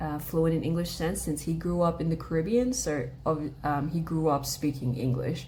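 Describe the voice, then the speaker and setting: Heard with audible room echo, a woman with an Australian accent speaks at a very deep, low pitch, with ordinary pitch variation. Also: moderate pace. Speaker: vlogger, language learner. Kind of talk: casual chat. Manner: casual, many filler words.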